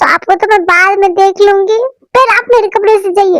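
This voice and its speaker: A woman's put-on character voice, extremely high in pitch, at a fairly quick pace, with fairly even intonation and very even loudness. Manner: shouting, loud.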